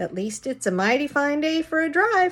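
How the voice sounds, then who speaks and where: The put-on character voice moves at a moderate pace with very wide pitch swings. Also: woman. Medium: read story. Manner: folksy, teasing.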